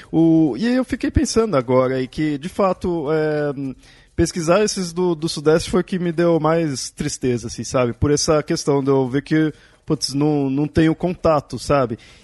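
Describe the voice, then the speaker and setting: In a dry, close sound with no echo and a quiet background, a man with a fairly high pitch and ordinary pitch variation uses a normal speaking voice. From Brazil, Southeast. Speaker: podcast host. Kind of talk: casual chat.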